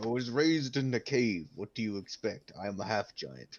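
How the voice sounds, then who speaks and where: Here a man puts on a character voice at a medium pitch. He keeps a moderate pace. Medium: actual play. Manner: stilted, formal, addresses others as 'human'.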